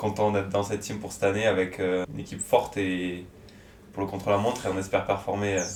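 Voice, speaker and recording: A man with a fairly low voice talks very fast in a monotone, flat delivery, with audible room echo. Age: 20s. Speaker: amateur cyclist. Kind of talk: interview.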